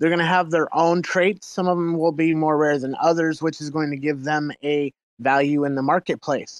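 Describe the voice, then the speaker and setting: With a plain, everyday voice, a man speaks at a fairly high pitch and moderate pace, with fairly even intonation, hardly any pauses, and a dry, close sound with no echo. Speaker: project founder. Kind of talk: project pitch.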